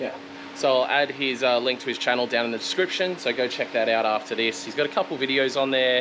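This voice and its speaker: Noticeable background noise sits under a man talking at a very fast pace. His pitch is medium, with ordinary variation. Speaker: car vlogger. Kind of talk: casual vlog talk. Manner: loud.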